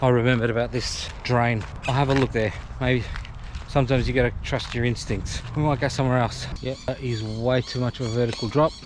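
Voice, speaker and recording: An Australian accent from a man, fairly quick and monotone, with flat intonation over noticeable background noise. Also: medium pitch for a man. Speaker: kayaking vlogger. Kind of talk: outdoor vlog narration. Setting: outdoors by river, then on kayak. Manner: casual, conversational.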